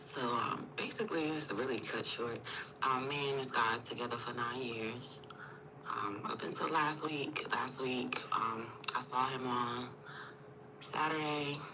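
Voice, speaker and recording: A woman speaks in a very deep, low voice at a fairly slow pace, her intonation fairly even. Noticeable background noise and audible room echo fill the recording. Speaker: caller. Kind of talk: personal story on call. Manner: halting.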